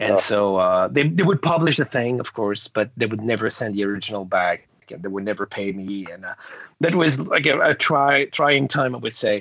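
A man speaks with a French Canadian accent at a moderate pace. His medium-pitched voice has lively intonation. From Quebec. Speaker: comic book artist. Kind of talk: interview. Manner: halting.

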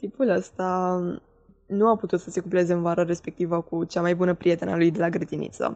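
Her voice has a dark, mellow tone at a fairly low pitch for a woman. She speaks at a moderate pace. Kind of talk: personal story.

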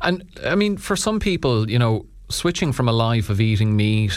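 In an Irish accent, a man speaks at a moderate pace with a fairly low voice. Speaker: radio host. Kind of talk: radio interview. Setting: studio.

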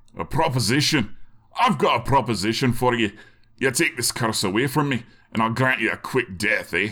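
Putting on a gruff character voice, a man talks at a medium pitch and a moderate pace. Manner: angry, gruff, suspicious.

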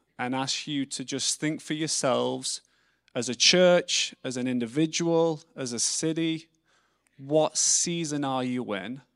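In an English accent, a man talks at a fairly slow pace with a fairly high pitch. The recording is very clean, with a silent background. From England. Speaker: missionary speaker. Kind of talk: sermon. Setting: church.

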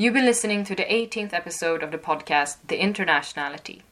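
A woman with a bright, sharp tone speaks at a very fast pace with lively intonation. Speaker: podcast host, student radio. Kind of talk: casual interview chat.

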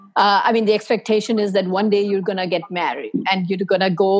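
A woman speaks at a medium pitch with fairly even intonation. Music plays in the background. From India. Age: 50s. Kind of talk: group discussion.

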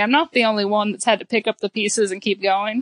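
A woman with a plain, everyday voice talks at a fairly quick pace in a fairly high pitch. Her intonation is fairly even, and the sound is dry and close with no echo over a quiet background. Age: 20s. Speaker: teacher and rancher. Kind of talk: casual interview.

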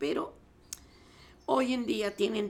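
The woman's voice shows vocal fry and very wide pitch swings. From Mexico (born La Paz, raised Mexico City). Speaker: soprano singer. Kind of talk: interview.

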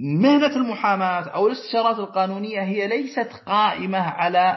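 A man's high-pitched voice with lively intonation. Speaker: lawyer. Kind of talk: interview. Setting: remote, over the air.

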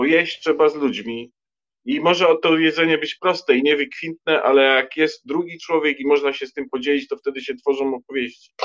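With ordinary pitch variation, a man speaks fairly high and at a fairly quick pace. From Poland, Lower Silesia. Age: 50s. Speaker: writer. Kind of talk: casual chat.

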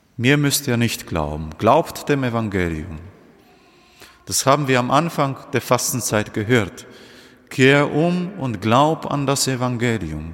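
A man at a very slow pace, with long, frequent pauses and very wide pitch swings. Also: medium pitch for a man. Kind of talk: homily at Holy Thursday Mass. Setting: church. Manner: earnest, direct address to congregation; measured, teacherly, explaining step by step.

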